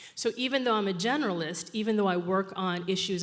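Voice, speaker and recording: With an American accent, a woman of medium pitch and ordinary pitch variation speaks at a fairly quick pace amid audible room echo. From New York. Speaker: social innovation strategist. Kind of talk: conference talk. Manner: fast.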